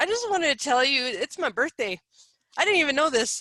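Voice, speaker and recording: Projecting a raised voice, a woman speaks fairly quickly with lively intonation and a bright, sharp tone. The sound is dry and close with no echo. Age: 30s. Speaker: spiritual advisor and coach. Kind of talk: interview.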